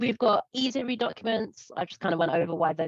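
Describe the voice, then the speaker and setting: With ordinary pitch variation, a woman talks fairly quickly. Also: dry, close sound with no echo. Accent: British. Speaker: presenter giving a workshop on online performance. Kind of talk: presentation. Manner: casual, filler-heavy.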